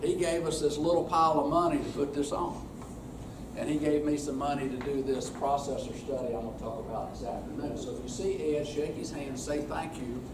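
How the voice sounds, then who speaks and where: A man talks at a moderate pace with a fairly high pitch and ordinary pitch variation. Room echo is audible, and there is noticeable background noise. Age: 60s. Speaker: extension specialist leading a workshop session. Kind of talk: workshop presentation. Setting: workshop room with audience. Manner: casual, folksy.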